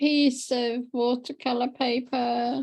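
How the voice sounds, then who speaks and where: A woman is speaking. Her voice sits high in pitch. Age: 70s. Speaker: workshop participant. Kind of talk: casual chat.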